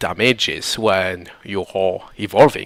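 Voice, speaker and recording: A man talks at a very slow pace in a fairly low pitch, with a non-native accent. His intonation stays fairly even. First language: not English. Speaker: gaming tutorial creator. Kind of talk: video game tutorial commentary.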